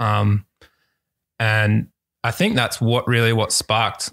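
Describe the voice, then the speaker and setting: A fairly low-pitched man with an Australian accent, fairly slow and monotone, on a very clean recording with a silent background. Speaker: visual artist. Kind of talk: casual chat. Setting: at home.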